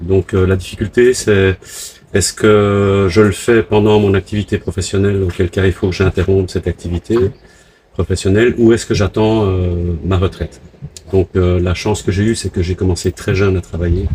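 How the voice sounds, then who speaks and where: The delivery has monotone, flat intonation, with a dry, close sound and no echo. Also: man, very deep, low pitch for a man, moderate pace. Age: 60s. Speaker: retired sailor living on a boat. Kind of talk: interview. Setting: on a catamaran.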